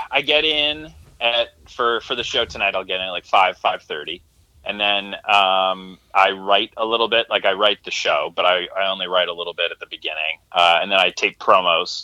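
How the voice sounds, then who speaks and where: A man's normal speaking voice with an American accent, fairly low pitch, lively intonation and a moderate pace. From Connecticut, US. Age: 20s. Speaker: sports broadcaster. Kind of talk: casual chat.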